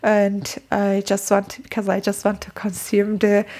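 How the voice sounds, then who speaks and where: A woman with a Turkish accent speaks at a medium pitch. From Turkey. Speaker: book and language-learning vlogger. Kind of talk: casual vlog talk. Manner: halting, with fillers and repetitions.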